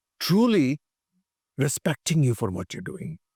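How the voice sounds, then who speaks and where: On a very clean, dry, close recording with a silent background and no echo, a man with an Indian accent speaks at a fairly slow pace and fairly high pitch in a dark, mellow tone with vocal fry and very wide pitch swings. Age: 70s. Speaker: physicist, former tech executive, pilgrim walker. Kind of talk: interview answer.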